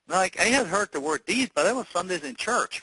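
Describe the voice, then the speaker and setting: A man speaks at a fairly quick pace with a high pitch and a bright, sharp tone. His pitch swings very widely, and the sound is dry and close with no echo. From Germany. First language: German. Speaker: real estate investor. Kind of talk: interview on a training call. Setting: conference call. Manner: halting, many fillers and restarts.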